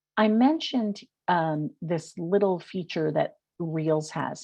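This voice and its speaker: A woman at a medium pitch speaks with a New York accent and lively intonation. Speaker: social media marketing consultant. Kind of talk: webinar presentation. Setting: webinar.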